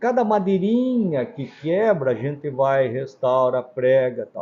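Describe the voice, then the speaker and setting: Very slow, somewhat breathy speech with very wide pitch swings. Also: man. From Brazil, coastal Paraná (Antonina). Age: 70s. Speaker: pharmacy owner. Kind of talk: interview.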